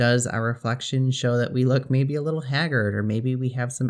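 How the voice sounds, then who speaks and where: This man has an unremarkable speaking voice, medium in pitch with fairly even intonation. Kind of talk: guided meditation. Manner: slow, soothing, calm and gently instructive, with long pauses between short phrases.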